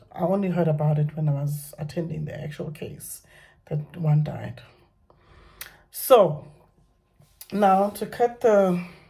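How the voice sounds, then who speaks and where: The voice is somewhat breathy, with a dark, mellow tone. Its intonation stays fairly even. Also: woman. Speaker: vlogger sharing personal story. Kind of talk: personal testimony vlog. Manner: halting, many fillers and repetitions.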